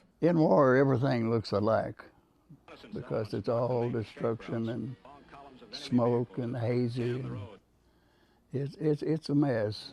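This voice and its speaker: Over music in the background, a man with a medium pitch speaks at a very slow pace, with ordinary pitch variation and long, frequent pauses. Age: 80s+. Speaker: war veteran. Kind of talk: interview answer.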